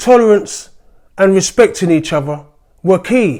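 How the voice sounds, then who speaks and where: Lively intonation marks this man's speech. His voice is high-pitched with a dark, mellow tone. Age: 60s. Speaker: political commentator. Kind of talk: opinion monologue.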